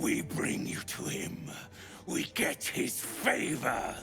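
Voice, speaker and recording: A man uses a put-on character voice, growling at a very slow pace. Background noise is clearly audible. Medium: video game. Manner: guttural, clipped.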